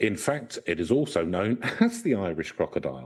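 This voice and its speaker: Vocal fry marks this man's medium-pitched voice at a fairly slow pace. The background is quiet. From Ireland, County Mayo. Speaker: podcast co-host. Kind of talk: casual chat.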